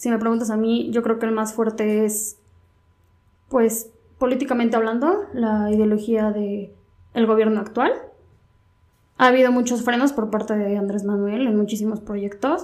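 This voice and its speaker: At a moderate pace, a woman with a fairly high pitch speaks in fairly even intonation, leaving long, frequent pauses. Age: 20s. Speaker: law student. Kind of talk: casual chat.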